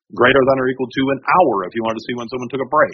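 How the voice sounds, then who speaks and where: A man at a medium pitch, talking very fast with fairly even intonation. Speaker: trial witness testifying on data analysis. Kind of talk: technical, explanatory. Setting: courtroom. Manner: fast talker.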